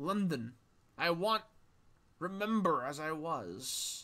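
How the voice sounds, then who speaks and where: A man puts on a raspy, high-pitched character voice with lively intonation, speaking at a very slow pace. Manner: pleading.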